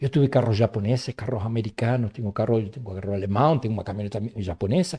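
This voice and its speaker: A man with a Spanish accent, medium in pitch and somewhat breathy, with a dark, mellow tone, ordinary pitch variation and a fairly quick pace, in a dry, close recording with no echo, very clean and against a silent background. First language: Spanish (speaking Portuguese). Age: 60s. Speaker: herbal medicine specialist and professor. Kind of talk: podcast interview.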